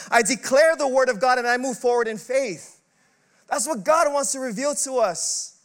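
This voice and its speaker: Loud and extremely high-pitched, a man speaks. His pitch variation is ordinary. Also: moderate pace. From Filipino heritage. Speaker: pastor. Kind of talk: sermon. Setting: church.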